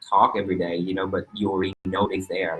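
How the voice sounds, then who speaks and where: A man with a Vietnamese accent at a fairly quick pace. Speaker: fashion designer. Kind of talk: interview. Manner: halting.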